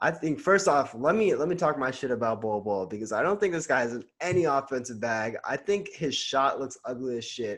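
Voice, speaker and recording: With a quiet background, a man speaks in an ordinary speaking voice, fairly high in pitch, at a fairly quick pace with lively intonation and hardly any pauses. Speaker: podcast co-host. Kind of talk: casual sports debate.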